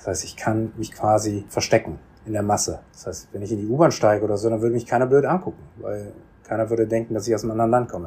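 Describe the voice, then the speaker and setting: A dark, mellow voice, somewhat breathy, races along at a very fast pace with big swings in loudness. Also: man, fairly low pitch for a man, ordinary pitch variation. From Germany, Bonn. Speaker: second-generation Korean German interviewee. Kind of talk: interview. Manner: hesitant, many fillers.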